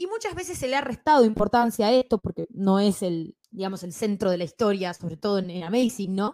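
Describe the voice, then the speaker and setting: A woman with a medium pitch speaks at a fairly quick pace, barely pausing, with lively intonation. Her tone is dark and mellow, and the sound is dry and close with no echo. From Bolivia and Ecuador. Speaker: comics podcaster and columnist. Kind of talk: casual panel discussion.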